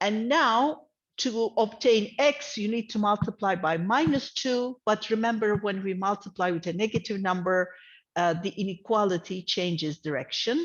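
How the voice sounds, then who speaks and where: A woman's lively intonation rides on a medium pitch in a normal speaking voice, moving at a moderate pace. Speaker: math lecturer. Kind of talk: lecture.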